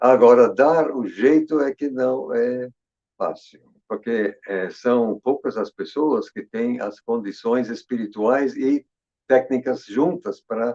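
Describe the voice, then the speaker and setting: Speaking very slowly, a man with a medium pitch and a dark, mellow tone shows ordinary pitch variation in a dry, close sound with no echo. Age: 80s+. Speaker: Bible scholar. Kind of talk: casual chat. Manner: halting.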